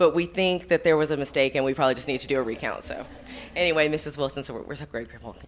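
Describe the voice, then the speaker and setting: A woman with a Texas accent and a very deep, low pitch. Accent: Texas twang. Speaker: school administrator presenting awards. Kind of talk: award presentation at public meeting.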